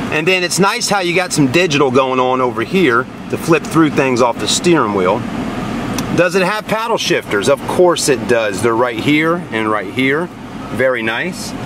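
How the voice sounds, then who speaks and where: A man at a moderate pace, dry sound with no echo, over loud background noise. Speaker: car sales reviewer. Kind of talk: casual vlog chat. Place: car.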